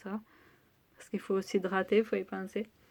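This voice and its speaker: This is a woman talking. She delivers her words with monotone, flat intonation. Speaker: beauty vlogger. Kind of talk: product review vlog.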